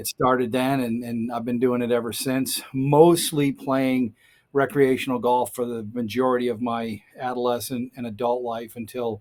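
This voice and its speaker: A man's medium-pitched voice at a moderate pace, flat and monotone, with hardly any pauses. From Massachusetts, Boston area (Quincy). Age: 60s. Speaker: college golf coach, Marine veteran. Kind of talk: interview.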